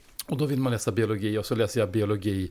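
A man with a plain, everyday voice speaks at a moderate pace, his fairly low pitch showing ordinary pitch variation. The recording is very clean, with a silent background. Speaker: former food company CEO. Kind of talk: interview.

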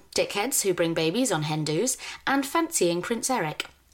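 A woman with a medium-pitched voice talks fairly quickly with lively intonation. There is noticeable background noise. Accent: British. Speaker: podcast host. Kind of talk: casual chat.

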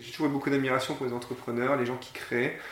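Noticeable background noise and audible room echo surround this recording. The man speaks at a medium pitch with monotone, flat intonation. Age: 40s. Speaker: school founder and director. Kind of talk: interview. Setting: in person at the school premises. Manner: halting, many repetitions and fillers.

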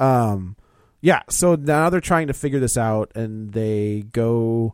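Dry and close with no echo, a man's voice of medium pitch moves at a fairly slow pace with ordinary pitch variation, an unremarkable speaking voice. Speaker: film podcast co-host. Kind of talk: casual chat.

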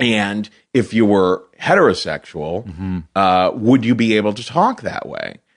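Against a quiet background, a man with an American accent and a normal speaking voice talks at a fairly slow pace, with ordinary pitch variation and big swings in loudness. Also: fairly low pitch for a man. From Cincinnati, Ohio, US Midwest. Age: 40s. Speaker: comedian and storyteller, podcast host. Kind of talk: casual interview chat.

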